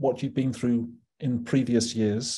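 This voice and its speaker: A man speaks with a British accent at a moderate pace. His tone is dark and mellow. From UK. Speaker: psychiatry professor; professor, event host. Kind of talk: interview conversation. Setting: video call. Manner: halting. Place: home room. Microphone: video call.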